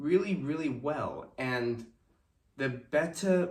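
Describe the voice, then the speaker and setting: Somewhat breathy speech with lively intonation and audible room echo. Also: man. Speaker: fitness instructor. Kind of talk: tutorial. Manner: slow.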